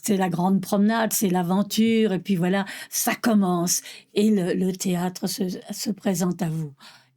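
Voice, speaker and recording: Dark, mellow woman's voice at medium pitch and a fairly slow pace. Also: very clean recording, silent background. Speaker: stage actress. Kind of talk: interview testimony. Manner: halting.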